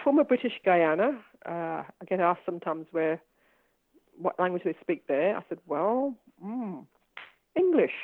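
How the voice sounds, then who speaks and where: A woman at a moderate pace, with very wide pitch swings and long, frequent pauses. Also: medium pitch for a woman. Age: 70s. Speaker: retired social worker and community activist. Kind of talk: interview conversation. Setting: video call. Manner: halting.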